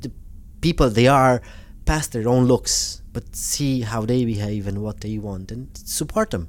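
A man speaks at a moderate pace with a Romanian accent. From Romania, Transylvania. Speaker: community development worker for Roma. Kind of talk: interview conversation. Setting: hotel room recording.

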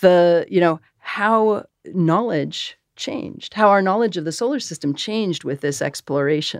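With a normal speaking voice and an American accent, the speaker talks at a fairly slow pace with lively intonation over a quiet background. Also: woman, fairly low pitch for a woman, hardly any pauses. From US Northeast, Massachusetts. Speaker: planetary scientist. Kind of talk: interview.

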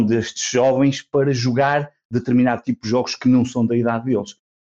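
A man with a dark, mellow tone and a medium pitch speaks at a moderate pace in a dry, close sound with no echo. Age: 40s. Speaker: podcaster. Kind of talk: casual chat.

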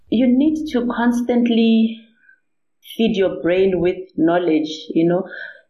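A woman with a fairly high, somewhat breathy voice speaks at a very slow pace with lively intonation and very even loudness. Her speech has long, frequent pauses. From South Africa, Limpopo. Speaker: nuclear medicine specialist. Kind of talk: interview.

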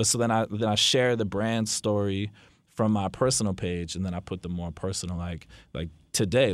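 This man has a normal speaking voice with an American accent, a fairly low pitch, fairly even intonation and a fairly quick pace. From New Jersey. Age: 20s. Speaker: record label owner. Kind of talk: casual interview.

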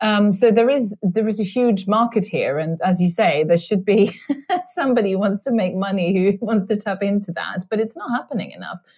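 The speaker has a Swedish accent and ordinary pitch variation at a fairly quick pace. Noticeable background noise is present. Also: woman, medium pitch for a woman. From Sweden. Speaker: author. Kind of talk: interview. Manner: halting.

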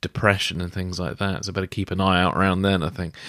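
On a very clean recording with a silent background, a man with a British accent talks at a fairly low pitch. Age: 40s. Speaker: podcast host. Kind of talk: interview.

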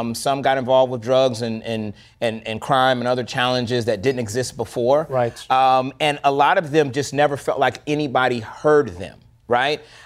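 This man has an unremarkable speaking voice. His pitch is medium and his intonation fairly even. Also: moderate pace. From US South, Florida. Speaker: filmmaker and producer. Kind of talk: interview.

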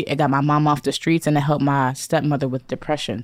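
Very deep and low, a woman's voice carries an American accent. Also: very clean recording, silent background. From Bridgeport, Connecticut. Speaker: chef and culinary instructor. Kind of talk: casual chat. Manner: animated.

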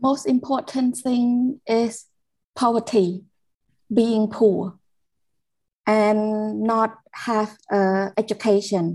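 Very slow speech from a woman in a Cambodian accent, fairly high pitch, dark, mellow tone, ordinary pitch variation and long, frequent pauses. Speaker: care leaver advocate. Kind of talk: personal testimony. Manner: halting, searching for words.

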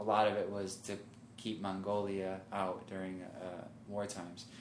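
With an American accent, a man speaks at a fairly low pitch in a monotone, flat intonation. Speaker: marathon runner. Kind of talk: casual chat.

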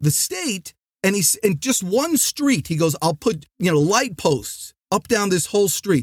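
A loud, energetic man with a New Jersey accent, high pitch, very wide pitch swings and a moderate pace, on a very clean recording with a silent background and a dry, close sound with no echo. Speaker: sales trainer and podcast host. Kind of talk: motivational podcast monologue.

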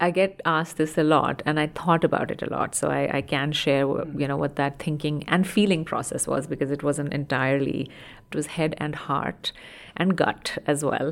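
A woman speaks with a very deep, low pitch and fairly even intonation at a moderate pace. The recording is very clean, with a silent background. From India. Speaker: health service workforce executive. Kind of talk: interview.

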